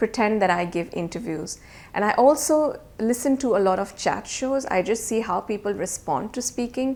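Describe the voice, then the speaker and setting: A woman speaks at a moderate pace with fairly high pitch and lively intonation. The recording is very clean, with a silent background. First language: not English. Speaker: IELTS teacher. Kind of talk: tutorial. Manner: casual.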